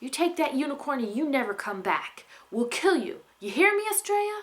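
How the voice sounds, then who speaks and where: In a put-on character voice, a woman growls at a high pitch with very wide pitch swings and a moderate pace. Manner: angry, threatening.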